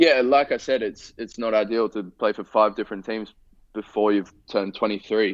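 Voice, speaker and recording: With an Australian accent, a man speaks at a moderate pace, his pitch fairly low and his intonation fairly even. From Australia, Sydney. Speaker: professional footballer. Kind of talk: interview. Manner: halting, repeats words.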